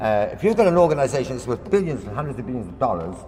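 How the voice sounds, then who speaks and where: A man speaks with very wide pitch swings. Noticeable background noise and audible room echo are present. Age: 60s. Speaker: local campaigner. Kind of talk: public presentation. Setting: public meeting in a hall. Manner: impassioned.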